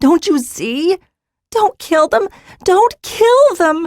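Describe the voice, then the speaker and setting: A woman uses a squeaky put-on character voice, extremely high in pitch. She speaks at a very slow pace with very wide pitch swings. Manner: wailing, desperate.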